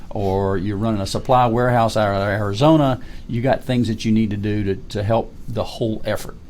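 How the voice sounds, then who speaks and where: A man's fairly quick, fairly low-pitched delivery with fairly even intonation, a plain, everyday voice. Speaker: retired army colonel. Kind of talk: interview.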